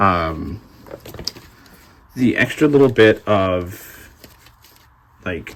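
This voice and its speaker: A man's voice with very wide pitch swings. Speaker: trading card game YouTuber, product reviewer. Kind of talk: product review, unboxing. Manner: casual with many fillers.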